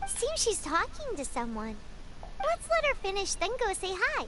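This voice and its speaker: In a squeaky, extremely high-pitched put-on character voice, someone talks at a moderate pace over loud background noise. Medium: video game. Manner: chatty, expressive.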